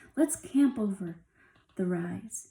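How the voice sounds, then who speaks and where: A woman uses a put-on character voice at a medium pitch. She growls as she speaks. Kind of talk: storytelling character voices. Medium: read story. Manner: gruff, rough-spoken.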